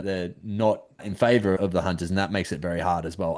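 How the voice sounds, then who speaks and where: A man with an Australian accent speaks at a very fast pace. His pitch is fairly low against a quiet background. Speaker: podcast host. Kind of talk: podcast interview. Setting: video call.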